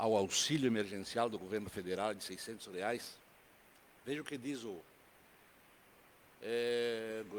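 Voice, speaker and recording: Audible room echo surrounds a man's speech. He uses ordinary pitch variation and takes long, frequent pauses. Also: medium pitch for a man, fairly slow pace. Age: 70s. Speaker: city councillor. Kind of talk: council session speech. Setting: council chamber.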